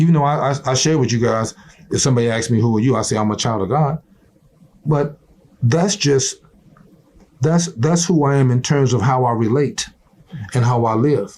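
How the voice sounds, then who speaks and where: Somewhat breathy and very even in loudness, a man with an American accent speaks at a moderate pace in a medium pitch, with ordinary pitch variation and long, frequent pauses. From US South. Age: 60s. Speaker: retired football player. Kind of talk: motivational interview talk. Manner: animated.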